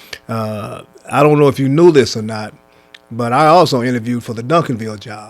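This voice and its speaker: A man with an American accent, medium pitch and ordinary pitch variation, at a fairly quick pace over music in the background. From US Midwest, Kansas City. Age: 70s. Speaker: basketball coach. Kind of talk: casual interview conversation.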